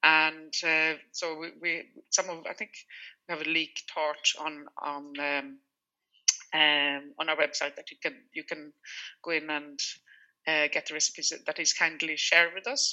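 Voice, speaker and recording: With a Swedish accent, a woman speaks at a very deep, low pitch in a flat monotone. Her loudness swings widely, and her pauses are long and frequent. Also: fairly slow pace. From Sweden. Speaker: food business founder. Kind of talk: radio interview. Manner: halting, with repeated words and fillers.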